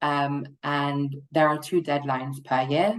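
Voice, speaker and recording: A woman's very deep, low voice in a British accent at a fairly slow pace, over a quiet background. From United Kingdom. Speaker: client strategist at a funding consultancy. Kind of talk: webinar presentation.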